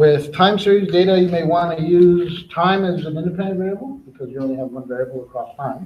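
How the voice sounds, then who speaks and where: Room echo is audible as a man speaks. His pitch is high and his pace fairly quick. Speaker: teacher. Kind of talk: lecture. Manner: fast.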